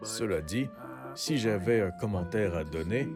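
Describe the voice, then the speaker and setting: A man with a fairly low pitch, music in the background. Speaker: live-action role-player. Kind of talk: casual product review to camera.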